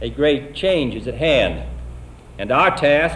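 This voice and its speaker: With an American accent, a man speaks against noticeable background noise. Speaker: president. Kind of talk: televised presidential address. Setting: 1960s television broadcast. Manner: emotional, fervent.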